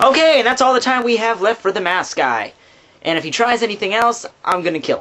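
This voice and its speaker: A man uses a raised, projected voice at an extremely high pitch. His intonation is lively. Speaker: movie reviewer. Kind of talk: casual movie review talk to camera. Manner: fast.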